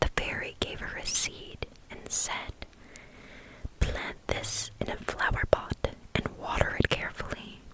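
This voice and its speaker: The speaker whispers fairly slowly, stopping often for long pauses, with noticeable background noise underneath. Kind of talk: fairytale reading to help sleep. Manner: whispered, soft.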